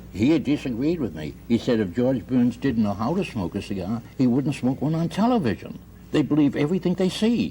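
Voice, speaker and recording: This man talks at a fairly quick pace with a medium pitch and very wide pitch swings. His tone is dark and mellow, with vocal fry. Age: 70s. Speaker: husband in a mediation case. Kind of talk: radio mediation hearing testimony.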